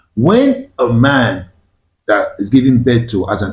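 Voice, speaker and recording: Speaking with a Nigerian accent, a man uses lively intonation at medium pitch, his dark, mellow tone somewhat breathy. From Nigeria, Igbo-speaking. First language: Igbo. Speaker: discussion show host. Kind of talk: panel discussion.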